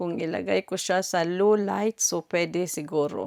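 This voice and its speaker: With a dry, close sound and no echo, a woman speaks in an ordinary speaking voice at a medium pitch, a fairly slow pace and ordinary pitch variation. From Philippines. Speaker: vlogger. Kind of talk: casual vlog.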